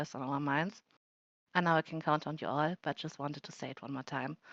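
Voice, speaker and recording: Very deep and low in pitch, a woman speaks at a very fast pace with a non-native accent. The sound is dry and close with no echo, over a quiet background. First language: not English. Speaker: event moderator. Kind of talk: live event moderation, prepared opening remarks. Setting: virtual world event streamed live.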